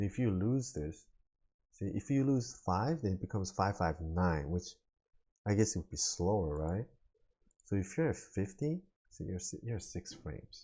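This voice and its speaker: At a moderate pace with long, frequent pauses, a man speaks in a fairly low, somewhat breathy voice with lively intonation. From Korea. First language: not English (English is third language). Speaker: video game streamer. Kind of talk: gameplay commentary. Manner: casual, filler-heavy.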